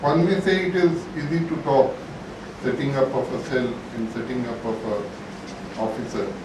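Noticeable background noise and audible room echo surround the speaker. A man talks at a fairly slow pace. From India. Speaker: lawyer. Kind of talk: symposium speech. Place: hall.

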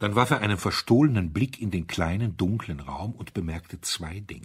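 With a husky, rough edge, a man talks at a moderate pace in a very clean recording with a silent background.

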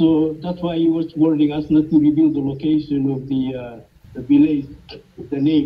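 Flat, monotone delivery at a moderate speed. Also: man. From Micronesia. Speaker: missionary. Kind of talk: testimony. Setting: video call. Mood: grateful, earnest. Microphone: video call.

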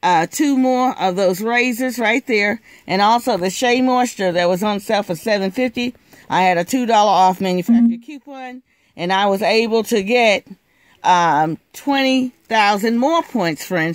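The voice keeps a moderate pace against a quiet background, with a dry sound and no echo. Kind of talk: casual haul vlog narration. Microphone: phone near.

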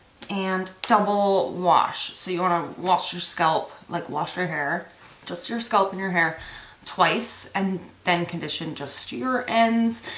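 Very slowly, a woman speaks. Audible echo fills the room. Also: ordinary pitch variation. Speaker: vlogger. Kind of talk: casual vlog chat. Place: home room. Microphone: phone near.

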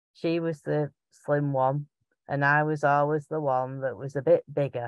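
Speaking with a strong Lancashire accent, the voice has a clear, smooth tone, a fairly slow pace and fairly even intonation, recorded with a dry, close sound and no echo. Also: woman. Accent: strong Bolton, Lancashire.

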